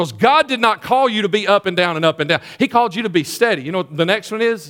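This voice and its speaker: A man with a Southern US accent speaks at a very fast pace. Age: 50s. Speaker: pastor. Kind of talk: sermon.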